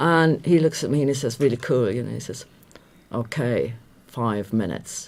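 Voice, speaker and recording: At a moderate pace, a woman with a very deep, low voice speaks with big swings in loudness. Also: ordinary pitch variation. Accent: slight Irish. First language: German. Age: 50s. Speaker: radio journalist. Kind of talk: casual chat. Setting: live radio studio with webcams.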